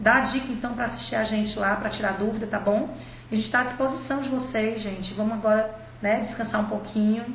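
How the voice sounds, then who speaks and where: Over noticeable background noise and audible room echo, a woman speaks fairly quickly in a fairly high pitch with fairly even intonation. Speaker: dentistry teacher. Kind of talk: live-streamed lecture. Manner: fast.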